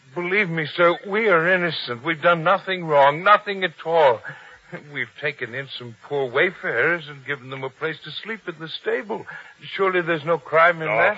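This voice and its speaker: Shaky and high-pitched, a man puts on a character voice. He keeps to a moderate pace. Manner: trembling, fearful, pleading.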